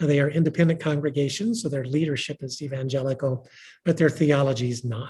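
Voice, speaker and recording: A woman's very deep, low voice, somewhat breathy with a dark, mellow tone, at a very fast pace. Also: ordinary pitch variation. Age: 70s. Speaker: author and pastor. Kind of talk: book event conversation. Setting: live stream.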